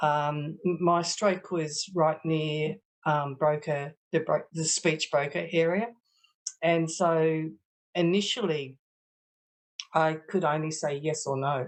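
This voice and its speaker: Someone with an Australian accent talks at a very slow pace with long, frequent pauses and fairly even intonation. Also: woman, very deep, low pitch for a woman. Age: 60s. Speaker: stroke survivor with aphasia. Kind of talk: testimony. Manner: halting, many hesitations.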